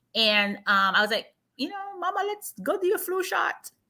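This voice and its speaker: A woman with an extremely high pitch raises and projects her voice at a moderate pace, her pitch swinging very widely. Her tone is animated, bright and sharp. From Jamaica. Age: 40s. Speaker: marketing executive and livestream host. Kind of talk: casual health livestream chat.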